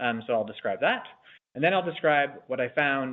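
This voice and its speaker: A man talks fairly quickly, his voice at a medium pitch. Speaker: radiation oncologist and researcher. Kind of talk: lecture. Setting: seminar room with audience, no mic. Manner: fast; loud.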